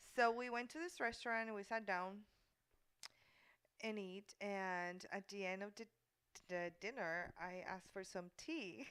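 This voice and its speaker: A strong Puerto Rican accent, a fairly slow pace, long and frequent pauses, and ordinary pitch variation. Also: woman, medium pitch for a woman. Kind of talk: casual chat. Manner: animated.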